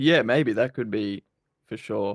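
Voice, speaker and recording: The speaker has an Australian accent, a fairly quick pace and ordinary pitch variation. The recording is very clean with a silent background and a dry, close sound with no echo. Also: man. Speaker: basketball YouTuber. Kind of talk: podcast interview. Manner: energetic.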